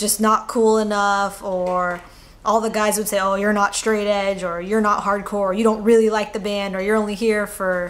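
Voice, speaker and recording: With an American accent, a woman speaks at a moderate pace in a monotone, flat intonation, with audible room echo. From California. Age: 20s. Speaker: interviewee, activist. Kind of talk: interview answers. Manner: hesitant, with fillers.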